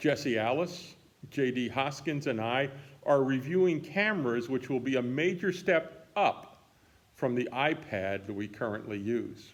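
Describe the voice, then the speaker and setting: His pace is fairly slow. The man's medium-pitched voice has lively intonation. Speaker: pastor. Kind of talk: daily reflection.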